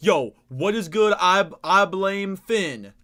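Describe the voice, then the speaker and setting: The tone is animated. The voice is raised and projected. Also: man. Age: 20s. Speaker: gaming streamer. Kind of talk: live stream chat. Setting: live stream. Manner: stutter. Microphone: echo.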